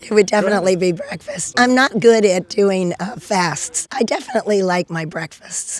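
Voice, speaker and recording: Moderate pace, ordinary pitch variation and hardly any pauses, over noticeable background noise. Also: woman, medium pitch for a woman. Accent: American. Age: 70s. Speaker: ninja warrior athlete. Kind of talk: interview answer.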